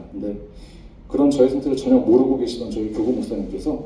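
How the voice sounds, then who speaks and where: Amid noticeable background noise and audible room echo, a man speaks. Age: 40s. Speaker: pharmacist giving church testimony. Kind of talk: testimony. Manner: halting.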